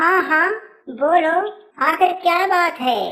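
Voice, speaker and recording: This cartoonish character voice is squeaky. Its pitch is extremely high. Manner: curt, dismissive.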